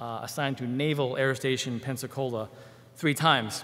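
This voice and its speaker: His pitch is fairly high, with ordinary variation. The man keeps a moderate pace. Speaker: church member giving testimony, military. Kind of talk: testimony. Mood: warm, grateful. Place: church. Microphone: podium.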